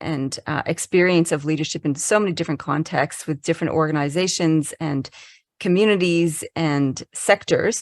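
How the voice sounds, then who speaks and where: Recorded very cleanly against a silent background, dry and close with no echo, a woman speaks at a moderate pace and a fairly low pitch with ordinary pitch variation. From Canada. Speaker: leadership consultant. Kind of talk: podcast interview.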